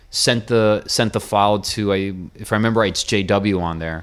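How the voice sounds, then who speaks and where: A man with an American accent, fairly low pitch, a fairly slow pace, and a plain, everyday voice. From US, Miami. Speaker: jazz and metal drummer. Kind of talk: casual interview.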